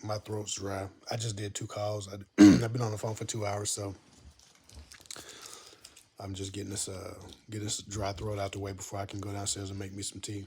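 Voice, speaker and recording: Putting on a character voice, a man sounds raspy and fairly low-pitched, with monotone, flat intonation, a moderate pace and long, frequent pauses. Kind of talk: casual, conversational.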